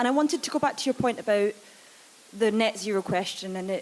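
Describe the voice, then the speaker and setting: Over noticeable background noise, a woman speaks at a medium pitch in a Glasgow accent. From Scotland, Glasgow. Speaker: think tank programme lead, audience questioner. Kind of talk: audience question. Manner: loud.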